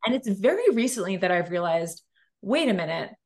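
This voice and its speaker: A woman speaks with a plain, everyday voice and ordinary pitch variation. The background is quiet. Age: 40s. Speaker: entrepreneur. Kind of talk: casual chat.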